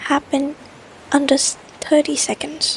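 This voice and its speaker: The speaker is soft-spoken and whispers at a fairly slow pace. Noticeable background noise runs underneath. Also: woman. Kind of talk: scary story reading. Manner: whispered, soft.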